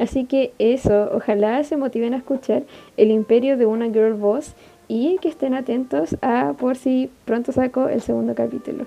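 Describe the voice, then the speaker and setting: At a moderate pace, a woman with a Chilean accent speaks in a high voice with ordinary pitch variation. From Chile, Iquique. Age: 20s. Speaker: podcast host, university student. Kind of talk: casual solo podcast monologue.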